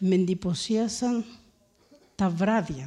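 A woman's somewhat breathy voice at a medium pitch, dark and mellow in tone, with ordinary pitch variation. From Crete, Greece. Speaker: surgeon and humanitarian volunteer. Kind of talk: public talk.

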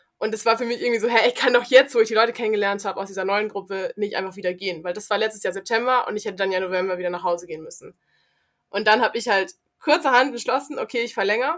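A woman's very fast, fairly high-pitched speech with ordinary pitch variation. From South Africa. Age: young. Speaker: volunteer youth worker. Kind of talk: casual chat.

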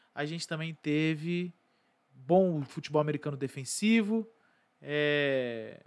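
A man with a fairly high pitch speaks very slowly with ordinary pitch variation. He leaves long, frequent pauses. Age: 20s. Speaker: sports podcast host. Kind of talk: casual commentary monologue. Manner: casual.

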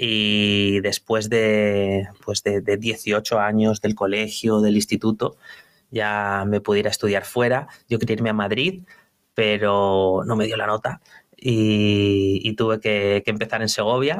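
The speech comes very slowly, in a monotone, flat intonation. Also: man, fairly low pitch for a man, very even loudness. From Spain, León province (rural village). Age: 40s. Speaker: entrepreneur. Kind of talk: interview. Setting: office. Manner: halting.

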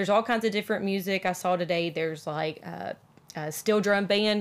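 A woman with a Southern US accent at medium pitch and moderate pace, in a very clean recording over a silent background. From US South. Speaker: podcast co-host. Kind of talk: casual chat. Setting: on a cruise ship.

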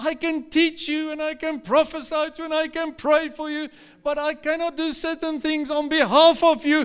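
At a moderate pace, a man speaks in an extremely high pitch with a warm tone and flat, monotone intonation. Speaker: pastor. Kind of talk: live church sermon, scripture teaching with congregation call-and-response. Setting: church service with live congregation. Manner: fervent, urging exhortation with repeated 'come on' and direct appeals to the crowd; warm and expressive, pausing to laugh and lead call-and-response prayer.

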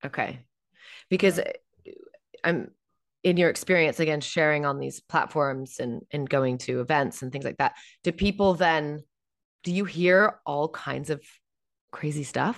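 A woman's very deep, low voice with an American accent, fairly slow and broken by long, frequent pauses, over a quiet background. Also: ordinary pitch variation. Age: 40s. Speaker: podcast host and on-camera coach. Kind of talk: interview.

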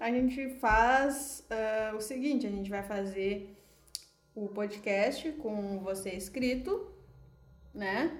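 A woman with a fairly high pitch and ordinary pitch variation talks at a very slow pace. She leaves long, frequent pauses, and the room echo is audible. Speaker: podcast co-host. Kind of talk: casual chat.

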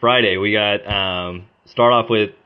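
A man's fairly low-pitched voice with an American accent. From Oklahoma, US. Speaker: optometry student and student association leader. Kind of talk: casual interview.

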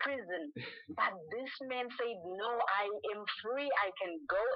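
This woman talks at a high pitch. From Zimbabwe. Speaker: gospel singer. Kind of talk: interview. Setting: phone call. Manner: animated.

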